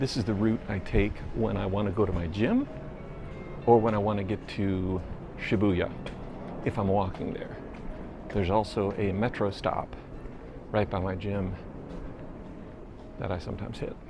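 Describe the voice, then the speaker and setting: Music plays behind a man speaking at a moderate pace. His intonation is monotone and flat, with long, frequent pauses. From United States. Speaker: travel vlogger. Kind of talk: walking vlog narration. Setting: outdoors on city streets. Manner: low, quiet voice. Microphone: pocket camera built-in microphone.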